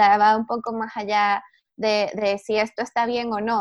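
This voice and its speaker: A woman speaks in a fairly high pitch with fairly even intonation. The background is quiet, and the sound is dry and close with no echo. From Venezuela. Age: 20s. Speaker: women's empowerment project founder. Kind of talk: casual interview chat. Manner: hesitant, many fillers.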